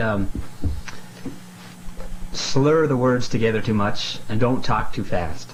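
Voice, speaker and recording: A very slow man with a medium pitch and lively intonation, set against noticeable background noise. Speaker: aspiring actor. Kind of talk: self-critique, casual talk. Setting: bedroom.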